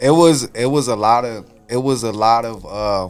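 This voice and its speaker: A man with an American accent speaks in a medium pitch. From Chicago, US. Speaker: rapper and songwriter. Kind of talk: casual interview chat.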